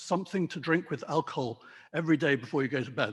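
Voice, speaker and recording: In a British RP accent, the somewhat breathy voice moves at a moderate pace with ordinary pitch variation over a very clean recording with a silent background. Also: man. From England, London. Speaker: wine merchant. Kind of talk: talk to a club audience. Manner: hesitant with many fillers.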